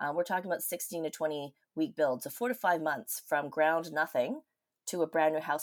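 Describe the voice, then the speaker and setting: A woman with a Canadian accent, a normal speaking voice, fairly low pitch, and a fairly quick pace. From Canada, Vancouver. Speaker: university lecturer. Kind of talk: interview.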